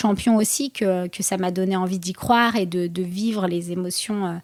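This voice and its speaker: In a very clean recording with a silent background, a woman speaks at a moderate pace and medium pitch with fairly even intonation. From France, Seine-Saint-Denis. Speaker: boxer and entrepreneur. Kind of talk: interview. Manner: halting.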